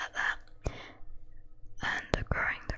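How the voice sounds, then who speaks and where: The speech is whispered at a fairly slow pace. Background noise is noticeable. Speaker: ASMR creator. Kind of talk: ASMR Q&A talk to camera.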